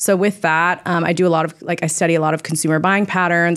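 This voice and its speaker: A woman speaking at a fairly quick pace. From California, Orange County. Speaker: bride-to-be, fashion industry worker. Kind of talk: casual chat. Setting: studio.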